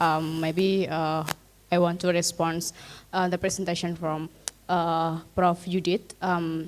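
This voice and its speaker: Speaking at a very slow pace, a woman has an Indonesian accent. Her voice is fairly low in pitch, with monotone, flat intonation. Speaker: audience member asking a question. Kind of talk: Q&A question at academic seminar. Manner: halting, many fillers.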